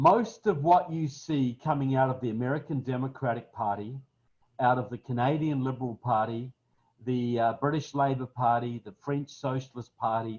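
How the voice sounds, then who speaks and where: A man with a southern New Zealand accent speaks at a moderate pace and a medium pitch. His voice is somewhat breathy, with ordinary pitch variation. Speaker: political speaker. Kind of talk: webinar talk. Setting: webinar, online.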